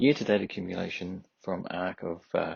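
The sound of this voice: A man speaks at a fairly slow pace. His voice has a husky, rough edge with vocal fry.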